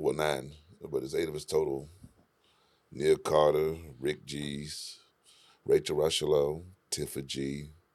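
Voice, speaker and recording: Man speaking at a moderate pace with long, frequent pauses. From Virginia Beach / Norfolk, Virginia. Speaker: music producer and engineer. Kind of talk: casual chat. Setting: recording studio.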